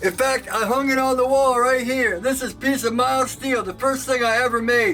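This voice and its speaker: Over noticeable background noise, a man projects a raised voice at an extremely high pitch and keeps a moderate pace. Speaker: knifemaker. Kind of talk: casual chat. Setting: workshop. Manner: loud; animated.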